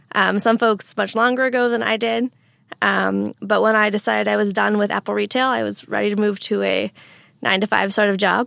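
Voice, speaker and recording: The speaker has an American accent and a fairly quick pace, captured in a very clean, dry, close recording with a silent background and no echo. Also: woman. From US Northwest (Eastern Washington). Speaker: software product manager. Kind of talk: interview. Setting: studio.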